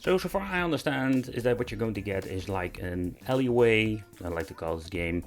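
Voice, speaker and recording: With music in the background, a man with a Dutch accent speaks at a moderate pace in a fairly low pitch with ordinary pitch variation. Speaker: YouTuber reviewing handheld games. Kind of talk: product review video. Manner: casual, slightly halting.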